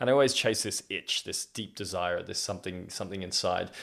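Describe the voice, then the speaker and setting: On a very clean recording with a silent background, a man speaks with an Australian accent at a very deep, low pitch. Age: 30s. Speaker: podcast host. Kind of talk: personal storytelling monologue. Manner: halting.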